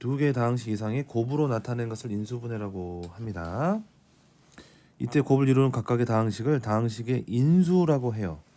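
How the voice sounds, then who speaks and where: Recorded very cleanly with a silent background, a man talks at a moderate pace in a medium-pitched voice with a dark, mellow tone. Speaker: math teacher. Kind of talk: lecture.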